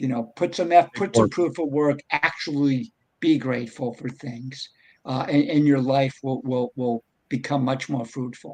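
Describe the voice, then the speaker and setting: Using a normal speaking voice, a man talks at a medium pitch and a moderate pace with ordinary pitch variation. The sound is dry and close with no echo. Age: 60s. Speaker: bitcoin advocate and entrepreneur. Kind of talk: casual chat.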